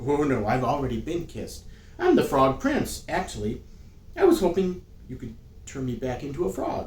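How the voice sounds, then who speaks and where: A man's put-on, whiny character voice at a moderate pace, with big swings in loudness, long and frequent pauses, and light background noise. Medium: read story.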